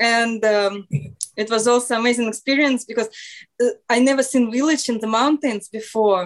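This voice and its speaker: In a Russian accent, a woman speaks at a fairly high pitch. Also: fairly even intonation, moderate pace. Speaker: radio show guest. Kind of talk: casual chat. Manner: halting.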